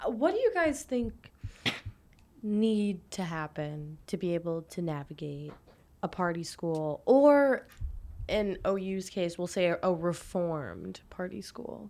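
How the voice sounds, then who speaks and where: A woman's dark, mellow voice of medium pitch, with lively intonation, at a very slow pace, on a very clean recording with a silent background. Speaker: student podcast host and editor. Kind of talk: casual interview.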